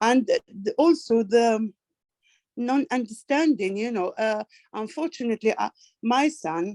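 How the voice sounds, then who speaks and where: A woman with a non-native accent, a dark, mellow tone and lively intonation, at a fairly slow pace, in a dry, close sound with no echo. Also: fairly high pitch for a woman. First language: not English. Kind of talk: online group discussion. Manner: halting.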